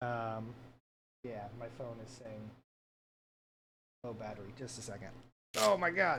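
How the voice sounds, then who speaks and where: With audible room echo, a man of medium pitch speaks in a bright, sharp tone at a fairly slow pace, with big swings in loudness and long, frequent pauses. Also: ordinary pitch variation. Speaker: vtuber streamer. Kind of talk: casual chat. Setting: livestream at desk. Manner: soft-spoken. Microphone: too quiet.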